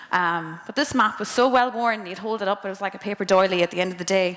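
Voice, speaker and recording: With a western Irish accent, a woman speaks at a fairly quick pace. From Ireland, County Mayo. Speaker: engineer speaking to students. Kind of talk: motivational talk to students. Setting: presentation to a live audience. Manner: casual, conversational.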